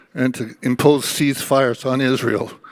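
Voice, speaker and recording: The speech moves at a moderate pace with a monotone, flat intonation. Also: man. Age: 80s+. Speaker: convention delegate. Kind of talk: floor speech at political convention.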